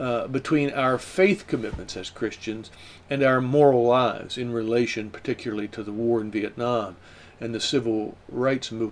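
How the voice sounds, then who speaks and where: Medium in pitch, this man speaks with an American accent and ordinary pitch variation. His pace is moderate. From US South, rural Shenandoah Valley, Virginia. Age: 60s. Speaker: professor. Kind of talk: lecture. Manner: halting, frequent fillers.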